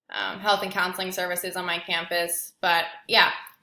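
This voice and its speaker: With an American accent and a bright, sharp tone, the speaker goes at a moderate pace amid audible room echo. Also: woman. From Indiana, US Midwest. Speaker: graduate student. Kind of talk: self-introduction video. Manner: hesitant, many fillers.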